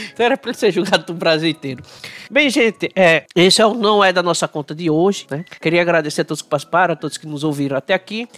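A man talks very fast in a high pitch with ordinary pitch variation. The sound is dry and close, with no echo. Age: 40s. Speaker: podcast host. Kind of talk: casual chat.

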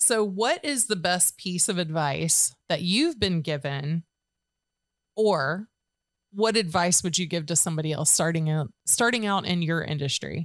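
A woman with an unremarkable speaking voice talks at a fairly slow pace in a fairly low pitch, her intonation lively, in a very clean recording with a silent background. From Georgia, US. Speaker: podcast host, artist and business owner. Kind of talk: casual interview chat; scripted intro.

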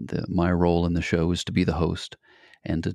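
In a calm tone, a man speaks at a moderate pace with a very deep, low, dark and mellow voice and a dry, close sound with no echo. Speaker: adventure show host and founder. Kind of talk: interview.

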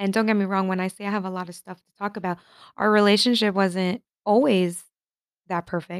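A woman's medium-pitched voice with an American accent at a fairly quick pace, fairly even intonation and big swings in loudness, on a very clean recording with a silent background and a dry, close sound with no echo. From New York and New Jersey. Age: 20s. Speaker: podcaster. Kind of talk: casual monologue.

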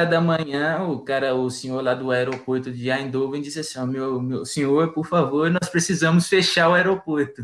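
A man talks at a fairly slow pace in an unremarkable speaking voice. His pitch is fairly high, with ordinary variation. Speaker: university student. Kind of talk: casual chat, storytelling.

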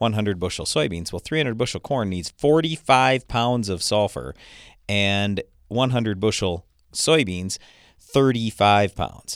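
A man with an American accent and a plain, everyday voice talks at a moderate pace and fairly low pitch with lively intonation, the sound dry and close with no echo on a very clean recording with a silent background. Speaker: agronomy radio host and farmer. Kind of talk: radio talk show. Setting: studio.

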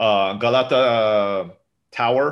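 A normal speaking voice from a man with an American accent, fairly low in pitch. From Turkey (Istanbul), international school. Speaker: entrepreneur and former software developer. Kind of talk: casual interview chat.

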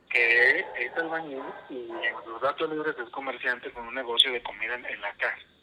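A man at a medium pitch and moderate pace, with ordinary pitch variation, big swings in loudness and noticeable background noise. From northern Mexico, Coahuila. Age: 30s. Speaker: religious brother. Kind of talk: casual interview. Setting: remote call from home.

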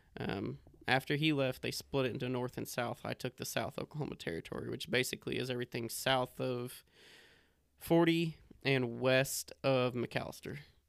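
A man speaks with a West Texas accent at medium pitch. His pitch varies in an ordinary way, and the sound is dry and close with no echo. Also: moderate pace. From Texas, Lubbock. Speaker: mobile hardware salesman. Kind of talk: casual chat.

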